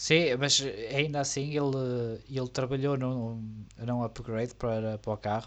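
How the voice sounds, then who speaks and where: With a European Portuguese accent, a man speaks at medium pitch and a fairly slow pace. His intonation is fairly even, and the background is quiet. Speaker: F1 podcast co-host. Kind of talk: casual chat.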